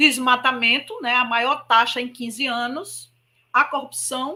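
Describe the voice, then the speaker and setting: Raised and projected, a woman's high-pitched voice has a bright, sharp tone and moves at a very slow pace. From Brazil, Maceió, Alagoas (Northeast). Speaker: spiritist speaker. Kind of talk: public lecture.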